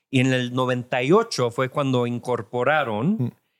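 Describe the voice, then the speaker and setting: A man at a medium pitch and a very slow pace, on a very clean recording with a silent background. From California, Mexican family from Jalisco. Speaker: tech entrepreneur. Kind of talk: interview. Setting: live event recording.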